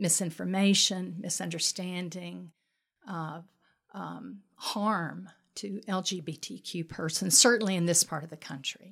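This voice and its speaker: Speaking very slowly in a Southern US accent, a woman uses ordinary pitch variation and some vocal fry. The recording is very clean, with a silent background. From US South, Mobile, Alabama. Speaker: pastor. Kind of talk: podcast interview.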